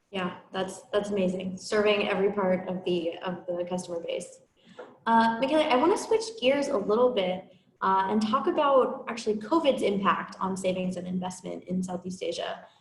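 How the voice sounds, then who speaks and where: With audible room echo around her, a woman speaks at a moderate pace and medium pitch, her pitch varying in an ordinary way. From USA. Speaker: podcast host. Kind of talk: interview.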